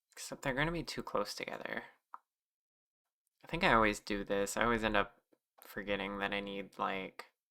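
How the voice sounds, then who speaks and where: The quiet voice is broken by long, frequent pauses. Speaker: streamer and 3D modeler. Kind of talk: casual livestream chat. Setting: livestream. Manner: quiet, ASMR-like.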